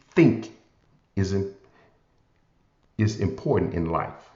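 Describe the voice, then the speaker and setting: In a room with audible echo, a man speaks in a Southern US accent with a somewhat breathy voice. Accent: southern drawl. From US South, Memphis, Tennessee. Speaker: motivational podcast host. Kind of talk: inspirational talk.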